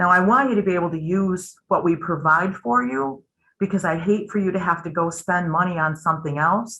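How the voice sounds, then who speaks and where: This woman has a fairly low pitch and a bright, sharp tone. She moves at a fairly quick pace. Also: ordinary pitch variation. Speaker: company presenter at a member town hall. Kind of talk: webinar presentation with Q&A. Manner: fast.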